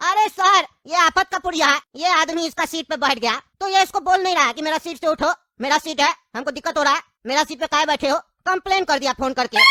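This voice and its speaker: In a cartoonish character voice, a man talks at a very fast pace with an extremely high pitch. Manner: colloquial, weary, reasoning.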